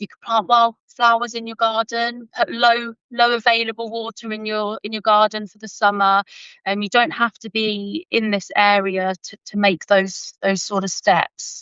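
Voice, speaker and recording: In a British accent, a woman with a fairly high pitch speaks with hardly any pauses, big swings in loudness and fairly even intonation. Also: moderate pace. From UK. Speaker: forensic science graduate and conservation volunteer. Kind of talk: interview answers. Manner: halting, repeats words.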